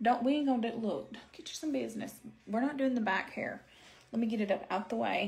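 Speaking with an Arkansas accent, a woman goes at a very fast pace, with vocal fry and ordinary pitch variation. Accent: Southern US (Arkansas). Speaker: beauty livestreamer. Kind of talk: live makeup stream chatting with viewers. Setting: home livestream with ring light. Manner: casual, animated. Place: home room. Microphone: phone near.

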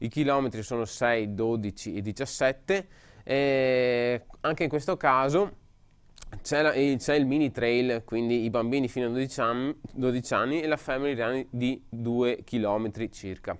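The pace here is very slow. A man talks, his pitch varying in an ordinary way. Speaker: radio and web TV host. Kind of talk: live broadcast presentation of event news. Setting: studio, live broadcast. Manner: halting, hesitant with repetitions. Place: studio.

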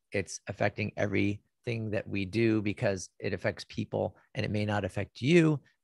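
A man's fairly low voice with vocal fry, ordinary pitch variation and a moderate pace, dry with no echo over a quiet background. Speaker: radio show host. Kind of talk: radio show intro and interview. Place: office. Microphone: studio mic.

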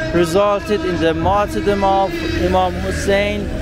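Clear music plays in the background as a man speaks, the sound dry with no echo. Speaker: travel vlogger. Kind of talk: walking tour commentary. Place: street. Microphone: phone near.

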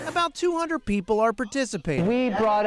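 Noticeable noise fills the background. Over it, a man talks at a moderate pace. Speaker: interviewee. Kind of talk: interview answer. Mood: enthusiastic, warm. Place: hall.

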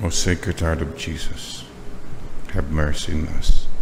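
A man speaks in a very deep, low voice at a very slow pace. Noticeable background noise runs underneath. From Philippines. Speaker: preacher. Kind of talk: sermon closing in a fervent, litany-style led prayer. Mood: calm, devout. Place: church. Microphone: podium.

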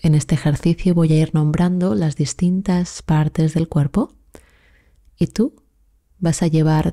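A woman with a fairly low pitch speaks at a very slow pace in a calm, soothing, dark, mellow tone, somewhat breathy, with ordinary pitch variation and a dry, close sound with no echo. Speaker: meditation guide. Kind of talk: guided meditation. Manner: slow, soft-spoken, soothing; calm, measured, with long pauses.

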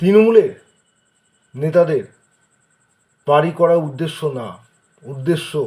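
Dark and mellow in tone, a man's high-pitched voice shows ordinary pitch variation. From Kolkata, India. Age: 40s. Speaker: local resident making a public complaint. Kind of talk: personal video appeal. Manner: halting.

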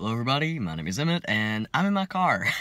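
A man's bright, sharp tone in a dry recording with no echo. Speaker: vlogger. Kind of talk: casual vlog chat. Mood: slightly awkward, amused. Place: car. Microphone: phone near.

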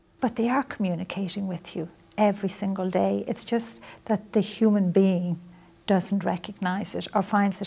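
A woman's somewhat breathy, dark and mellow voice with a Dublin accent. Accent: Irish (Dublin). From Ireland, Dublin. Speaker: author and spiritual teacher; spiritual teacher. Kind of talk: interview. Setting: visit to New York. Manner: soft-spoken. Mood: calm, earnest, gentle. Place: studio. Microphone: lapel.

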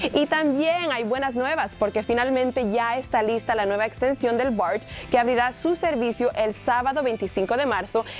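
Faint music plays in the background as a woman speaks at a moderate pace with hardly any pauses. Her high pitch has ordinary variation, and her loudness stays very even. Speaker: TV reporter and presenter. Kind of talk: TV weather and traffic report. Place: studio.

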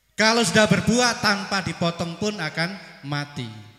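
A man with a bright, sharp tone speaks at a fairly slow pace, with audible room echo over a quiet background. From East Java, Banyuwangi; East Java, Indonesia. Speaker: school principal; preacher. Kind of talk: welcome speech at religious gathering. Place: stage. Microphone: handheld.

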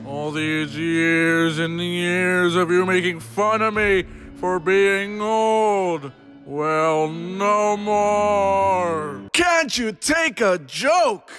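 A man puts on a cartoonish character voice, high-pitched and very slow. Clear music plays in the background. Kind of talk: anime parody dub.

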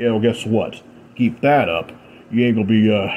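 The text is read aloud. It comes out in a natural voice.

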